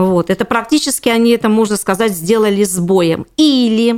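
A woman's plain, everyday voice, fairly high in pitch, at a moderate pace with ordinary pitch variation, in a very clean recording with a silent background. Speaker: housing and utilities lawyer. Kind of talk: interview.

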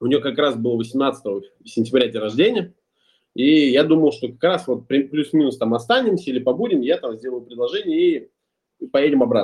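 This man has a fairly high pitch and a normal speaking voice. He talks at a moderate pace with lively intonation. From Russia, Ulyanovsk. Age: 20s. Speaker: entrepreneur and musician. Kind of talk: podcast interview.

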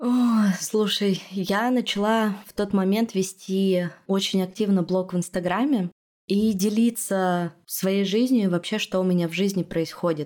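Heard on a very clean recording with a silent background, a woman speaks at a medium pitch and a fairly slow pace. Her loudness is very even and her intonation fairly even. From Russia, Urals (Yekaterinburg). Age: 30s. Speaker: podcast producer and host. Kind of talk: casual interview.

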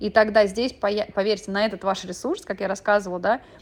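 This woman has an ordinary speaking voice of medium pitch. She talks at a fairly quick pace. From Moscow, Russia. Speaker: gestalt therapist and podcaster. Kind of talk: monologue podcast. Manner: conversational.

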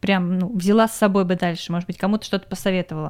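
A woman speaks at a very fast pace with ordinary pitch variation. The recording is very clean, with a silent background and a dry, close sound with no echo. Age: 20s. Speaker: podcast host, film industry worker. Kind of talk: casual chat.

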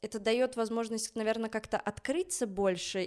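Her pitch is fairly high, with ordinary variation. This woman has a normal speaking voice. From Belarus, Minsk. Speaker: ballet dancer. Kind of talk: casual chat.

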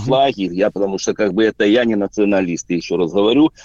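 A man is speaking. The recording has a dry, close sound with no echo. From Belarus. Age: 40s. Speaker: truck driver, radio caller. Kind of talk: call-in to live radio. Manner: hesitant, filler-heavy.

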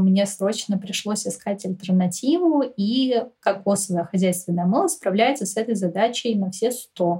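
With a plain, everyday voice, a woman speaks at a moderate pace and a medium pitch with lively intonation. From Moscow, Russia. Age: 20s. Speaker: podcast guest, eco-lifestyle enthusiast. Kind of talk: casual interview.

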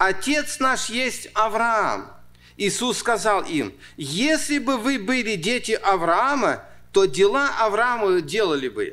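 A man with a high pitch raises and projects his voice, speaking very slowly. His tone is bright and sharp, his intonation lively. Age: 60s. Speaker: pastor. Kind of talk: sermon. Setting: church.

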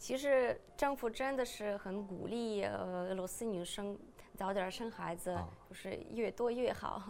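A woman with a Russian accent at a very slow pace. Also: medium pitch for a woman, ordinary pitch variation. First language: Russian (speaking Chinese). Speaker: podcast host. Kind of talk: casual chat.

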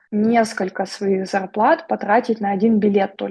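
A woman's somewhat breathy, fairly high voice with fairly even intonation. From Vladivostok, Russian Far East. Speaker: psychologist and therapist. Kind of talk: casual interview chat.

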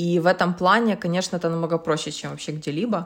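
A woman talks at a fairly quick pace with a fairly low pitch. It is a normal speaking voice. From Ukraine, Kyiv. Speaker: startup consultant and social entrepreneur. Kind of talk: casual interview. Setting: video call.

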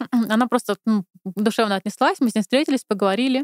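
High-pitched woman at a fairly quick pace, ordinary pitch variation, dry, close sound with no echo. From Moscow, Russia. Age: 30s. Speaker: podcast guest. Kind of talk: casual chat.

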